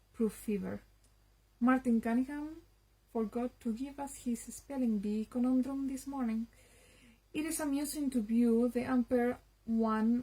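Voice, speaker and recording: A woman speaks at a fairly slow pace. Her pitch sits high. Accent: Spanish. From Spain. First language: Spanish. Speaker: literature enthusiast. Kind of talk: reading aloud. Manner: halting.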